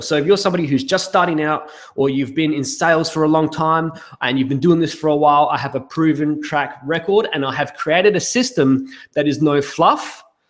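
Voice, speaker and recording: A man with an Australian accent, fairly high pitch, ordinary pitch variation and a fairly quick pace. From South Australia. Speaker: business consultant. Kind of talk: webinar sales pitch. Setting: live webinar. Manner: hesitant, many fillers.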